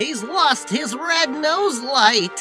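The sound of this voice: A woman puts on a character voice, high-pitched with lively intonation, at a very slow pace. Clear music plays in the background.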